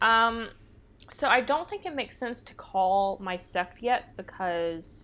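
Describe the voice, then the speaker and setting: A woman with a normal speaking voice, medium in pitch, speaks at a fairly slow pace with lively intonation. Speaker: player. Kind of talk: tabletop role-playing game session.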